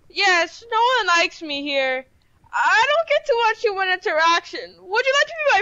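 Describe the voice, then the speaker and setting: Pitched extremely high, the voice moves at a moderate pace. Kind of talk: amateur comedy sketch. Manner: pleading, then panicked.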